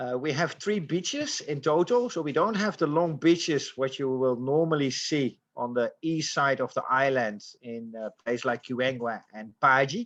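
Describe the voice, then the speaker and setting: In a quiet background, a man talks at a moderate pace with hardly any pauses, a fairly high pitch and ordinary pitch variation. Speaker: lodge owner presenting to travel agents. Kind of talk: online presentation. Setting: Zoom call. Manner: hesitant, frequent fillers.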